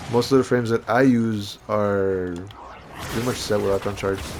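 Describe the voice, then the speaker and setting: With music in the background, a man talks in a fairly low pitch that varies in an ordinary way. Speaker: gaming youtuber. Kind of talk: gameplay commentary.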